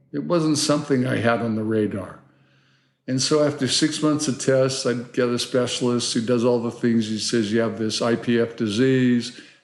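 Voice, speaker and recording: A man's fairly even intonation is heard with audible room echo around it. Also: medium pitch for a man, moderate pace. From Hawaii. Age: 70s. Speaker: surf filmmaker. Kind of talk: casual interview conversation.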